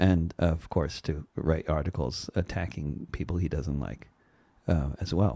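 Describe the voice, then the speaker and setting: A man speaks at a fairly slow pace in a very deep, low pitch with vocal fry. His tone is dark and mellow, his intonation fairly even. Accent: American. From US Northeast, New York suburbs. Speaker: indie musician and activist. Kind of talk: interview. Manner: halting.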